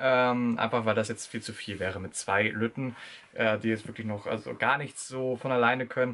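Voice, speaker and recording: Monotone, flat intonation marks this man's delivery. He talks at a moderate pace with a medium pitch. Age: young. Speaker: retail clerk, young father. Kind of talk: casual Q&A interview. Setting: in a car. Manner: hesitant, many fillers. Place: home room.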